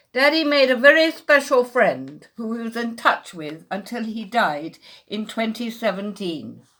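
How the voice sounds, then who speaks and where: A woman's fairly high voice with a bright, sharp tone, very wide pitch swings and a fairly slow pace, in a very clean recording over a silent background. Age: 70s. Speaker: daughter of a camp liberator. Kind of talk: memorial speech.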